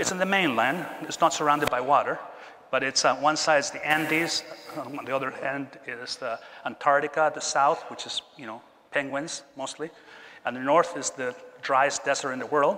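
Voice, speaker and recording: A man with a Chilean accent and a fairly high pitch speaks at a moderate pace with fairly even intonation. His loudness swings a lot, and there is noticeable background noise. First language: Spanish. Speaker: keynote speaker, tech executive. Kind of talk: keynote talk. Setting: stage with audience.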